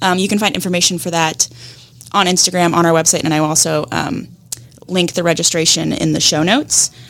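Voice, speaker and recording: Noticeable background noise sits behind a woman speaking in a fairly low voice. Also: ordinary pitch variation, fairly quick pace. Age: young. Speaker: podcast co-host, digital marketer. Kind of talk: casual interview chat; scripted outro with announcements.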